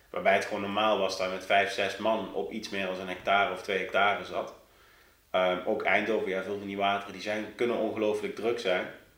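A man speaks fairly quickly at a fairly low pitch. His intonation is monotone and flat, with audible room echo. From Netherlands, South Limburg (near Sittard). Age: 30s. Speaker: carp angler and fishing-tackle company employee, former soldier. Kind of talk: podcast interview.

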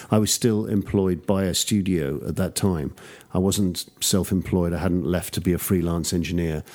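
In a London accent, a man speaks at a very deep, low pitch with a dark, mellow tone and fairly even intonation. The pace is moderate, and the recording is very clean with a silent background. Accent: traditional English, London area. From suburbs of London, England. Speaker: music producer and engineer. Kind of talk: casual interview.

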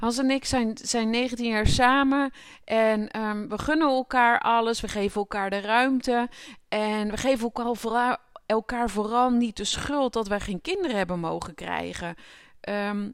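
At a fairly slow pace and a fairly high pitch, a woman speaks with ordinary pitch variation and an unremarkable speaking voice. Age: 30s. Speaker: podcast host. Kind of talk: personal monologue.

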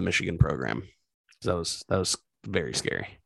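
A man speaks with vocal fry. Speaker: sports podcast co-host. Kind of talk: casual chat. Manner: low energy.

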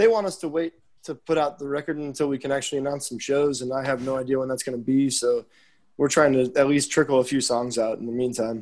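A man speaks at a very fast pace in an American accent. His pitch is medium, with ordinary pitch variation. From Chicago suburbs, US Midwest. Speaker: musician. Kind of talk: casual interview.

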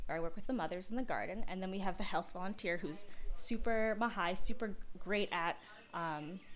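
In a Boston accent, a woman speaks at a fairly quick pace with a cheerful tone. Her voice has a dark, mellow tone and ordinary pitch variation. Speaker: Peace Corps agriculture volunteer. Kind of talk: casual interview. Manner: laughs often, cheerful.

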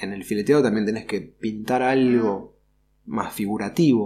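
In a Rioplatense accent, the voice has a dark, mellow tone and ordinary pitch variation. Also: man. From Buenos Aires, Argentina. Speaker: sign painter and artist. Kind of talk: interview.

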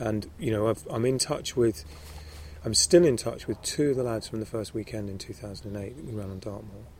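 A man with a southern English accent talks at a fairly quick pace. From London, England. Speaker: author and charity founder. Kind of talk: interview. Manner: halting.

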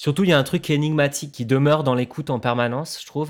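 This man speaks very fast. The background is silent and the recording very clean. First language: not French (speaking French). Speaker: musician and sound artist. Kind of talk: casual chat.

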